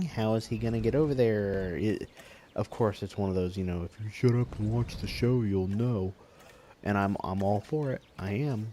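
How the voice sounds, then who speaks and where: Mumbling at a medium pitch, a man talks with ordinary pitch variation. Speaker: gaming youtuber. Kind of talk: let's play commentary.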